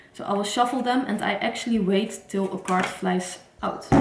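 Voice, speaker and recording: Over noticeable background noise and audible room echo, a woman speaks at medium pitch and a moderate pace with fairly even intonation. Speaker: tarot reader. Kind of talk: casual vlog talk. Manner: halting, some false starts.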